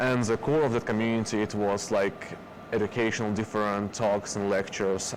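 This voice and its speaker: A man talks fairly quickly at a fairly low pitch, with ordinary pitch variation. Noticeable background noise is present. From Belarus. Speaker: productivity trainer. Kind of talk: interview. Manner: halting.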